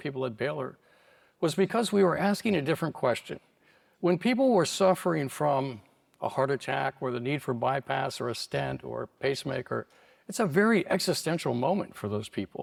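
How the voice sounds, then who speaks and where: A man's fairly high voice with vocal fry and lively intonation at a fairly quick pace, in a very clean recording with a silent background and a dry, close sound with no echo. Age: 70s. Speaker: cardiologist and longevity doctor. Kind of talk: conference talk.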